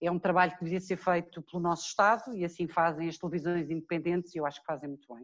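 In a European Portuguese accent, a woman with a fairly low pitch talks at a very fast pace with hardly any pauses and big swings in loudness. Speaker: lawyer and TV legal commentator. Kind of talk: interview.

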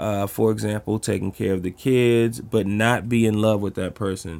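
A man speaks in an American accent with an unremarkable speaking voice. His pitch is medium, with ordinary pitch variation. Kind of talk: casual chat.

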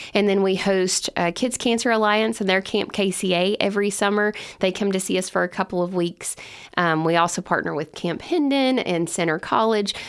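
Against a silent background in a very clean recording, a woman with a Kentucky accent speaks at medium pitch and a fairly quick pace, with ordinary pitch variation and very even loudness. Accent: Kentucky Southern US. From Kentucky (Lebanon). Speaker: summer camp executive director. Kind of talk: podcast interview. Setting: studio.

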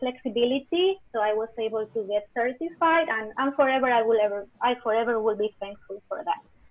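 This is a woman speaking with a Spanish accent. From Spain. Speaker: teacher. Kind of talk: interview.

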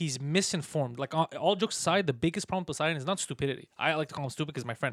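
In a very clean recording with a silent background, a man with a fairly high pitch talks at a very fast pace, with hardly any pauses, ordinary pitch variation, big swings in loudness and a dry, close sound with no echo. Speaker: stand-up comedian and podcast producer. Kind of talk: casual chat.

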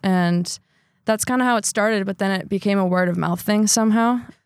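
A woman with an ordinary speaking voice, medium pitch and an American accent, at a fairly quick pace, in a very clean recording with a silent background. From Wisconsin (Sheboygan Falls). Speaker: reporter and musician. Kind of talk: casual interview.

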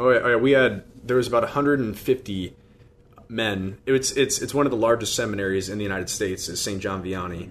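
At a moderate pace, a man with a Midwestern US accent speaks at medium pitch with ordinary pitch variation. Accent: US Midwest. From Iowa, Des Moines. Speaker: deacon and seminarian. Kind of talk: radio interview. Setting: studio.

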